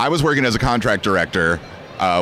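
The man talks at a fairly quick pace. The sound is dry with no echo, over light background noise. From California. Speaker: voice actor and anime dub director; voice actor. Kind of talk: convention interview. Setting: anime convention. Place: hall. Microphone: handheld.

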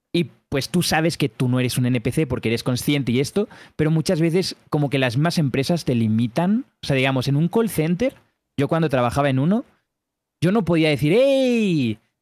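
A man talks at a moderate pace in a normal speaking voice, fairly high in pitch with lively intonation. His loudness stays very even, and the sound is dry and close with no echo. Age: 20s. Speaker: streamer reacting to videos. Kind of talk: casual chat.

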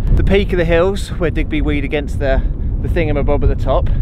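A man at a very fast pace, dry sound with no echo, loud background noise behind him. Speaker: vlogger. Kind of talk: casual vlog chat. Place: open country. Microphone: phone near.

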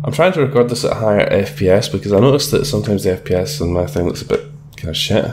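Words rush out very fast while noticeable noise fills the background. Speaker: let's play gamer. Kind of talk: casual gameplay commentary. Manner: mumbling a bit.

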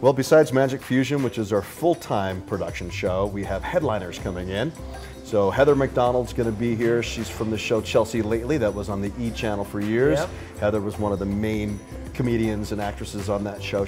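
Clear music plays in the background while a man speaks fairly quickly. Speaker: guest. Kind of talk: interview answer. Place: bar.

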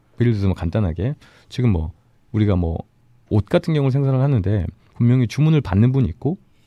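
Speaking at a very fast pace, a man with a medium pitch and a dark, mellow tone makes very wide pitch swings, the sound dry and close with no echo against a quiet background. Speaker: business consultant. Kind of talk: radio interview, explanatory. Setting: radio studio.

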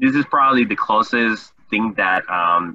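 A man is speaking against a quiet background. His sound is dry, with no echo. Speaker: webinar host. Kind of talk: guest introduction. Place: home room. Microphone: webcam.

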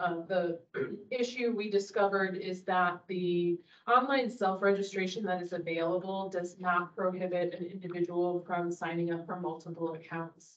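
A woman speaks at a moderate pace with hardly any pauses. Her intonation stays fairly even. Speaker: library staff giving a report. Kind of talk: meeting report. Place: meeting room.

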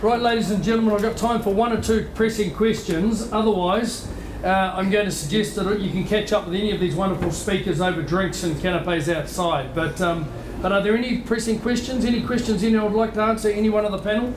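The speech moves at a fairly quick pace with ordinary pitch variation and very even loudness. Noticeable background noise sits behind it. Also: man, high pitch for a man. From New Zealand, rural. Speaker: agricultural trade envoy and moderator; moderator. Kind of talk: seminar moderation. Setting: stage with audience. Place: hall.

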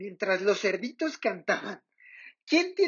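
Someone is reading aloud in a natural voice. The background is quiet.

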